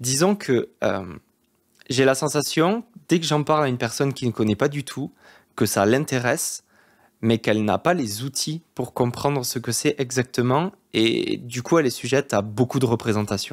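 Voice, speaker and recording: In a southwest French accent, a man speaks at a moderate pace and medium pitch with ordinary pitch variation, on a very clean recording with a silent background and a dry, close sound with no echo. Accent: southwest French accent, kept. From southwest France. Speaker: art therapist and YouTuber. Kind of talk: casual monologue to camera. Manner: hesitant, many fillers.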